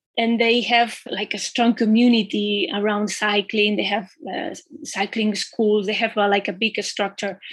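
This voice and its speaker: A woman with a Spanish accent speaks at a fairly slow pace. Her fairly high voice has a monotone, flat intonation. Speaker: cycling magazine editor. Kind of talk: interview.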